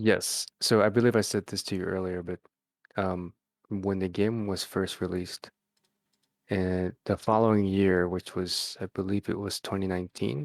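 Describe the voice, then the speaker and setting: A soft-spoken man with an American accent talks in a very deep, low voice at a moderate pace. His intonation is fairly even, and the sound is dry and close with no echo. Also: very clean recording, silent background. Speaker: fighting game tournament player. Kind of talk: casual interview chat. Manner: halting, hesitant.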